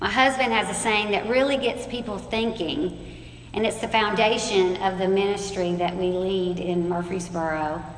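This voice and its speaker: With ordinary pitch variation and a medium pitch, a woman talks at a moderate pace as noticeable background noise continues. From West Tennessee. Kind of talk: sermon.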